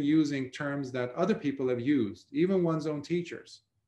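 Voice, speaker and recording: A man speaks with fairly high pitch and lively intonation. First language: not English. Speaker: Buddhist monk teacher. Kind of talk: dharma talk. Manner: halting with fillers.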